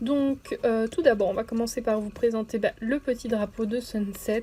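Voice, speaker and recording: Her pitch is fairly high for a woman. She talks at a fairly slow pace. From Belgium. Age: 20s. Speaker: gaming YouTuber. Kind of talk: let's play commentary. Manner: hesitant, many fillers.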